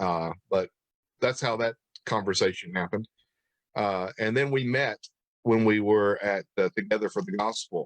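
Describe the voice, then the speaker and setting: In a Tennessee accent, a man talks at a moderate pace and medium pitch with ordinary pitch variation, long, frequent pauses, and a dry, close sound with no echo. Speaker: pastor and church history interviewer. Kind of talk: casual interview chat. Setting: livestream video call.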